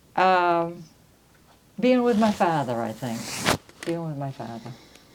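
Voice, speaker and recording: A woman speaks slowly at a fairly low pitch, with very wide pitch swings. Audible room echo is present. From Maine, Round Pond (coastal Lincoln County). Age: 80s+. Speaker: local elder sharing family history. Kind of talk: oral history interview.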